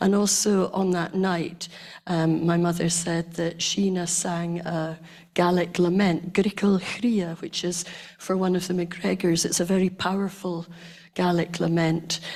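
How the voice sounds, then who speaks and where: A woman's fairly low voice with a Scottish accent, monotone, flat intonation and a fairly slow pace. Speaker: community member. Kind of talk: reminiscence on stage.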